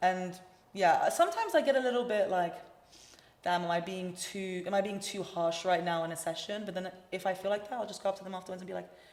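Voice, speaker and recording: Through audible room echo, a woman of medium pitch talks at a very fast pace with fairly even intonation and big swings in loudness. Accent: London. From London, England. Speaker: singer-songwriter. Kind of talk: casual chat. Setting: studio.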